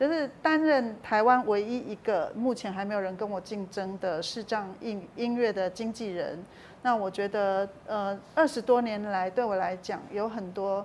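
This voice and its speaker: A woman with a plain, everyday voice speaks fairly slowly with hardly any pauses, at a medium pitch with ordinary variation. The recording is very clean, with a silent background. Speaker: talent agent for visually impaired performers, author. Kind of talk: interview.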